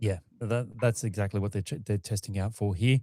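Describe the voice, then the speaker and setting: With an Australian accent, this dark, mellow voice shows ordinary pitch variation in a dry, close sound with no echo, on a very clean recording with a silent background. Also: man. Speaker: launch livestream co-host. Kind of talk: live commentary.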